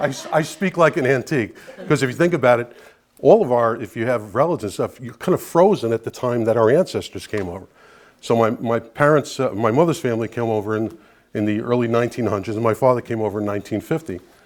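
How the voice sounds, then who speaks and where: Talking at a very fast pace, a man with a Brooklyn accent uses lively intonation and big swings in loudness. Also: medium pitch for a man, very clean recording, silent background. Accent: New York (Brooklyn). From New York City, Brooklyn (Bensonhurst). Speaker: guest speaker, Italian-American advocate. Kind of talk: public talk to an audience. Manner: conversational, with frequent fillers.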